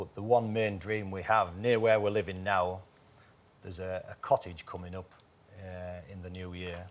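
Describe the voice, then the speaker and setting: Moderate pace with fairly even intonation. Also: man. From northern England, Whitby, North Yorkshire. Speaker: game show contestant. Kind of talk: casual chat.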